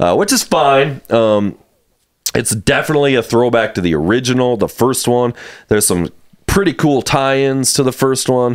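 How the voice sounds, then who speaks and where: A man speaks with lively intonation and very even loudness. The background is quiet. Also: moderate pace. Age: 40s. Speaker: podcast host. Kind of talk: casual chat. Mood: relaxed, casual. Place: home room. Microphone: studio mic.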